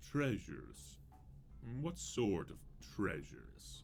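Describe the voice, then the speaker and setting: Over clear background noise, a man uses a put-on character voice at a fairly slow pace. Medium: video game.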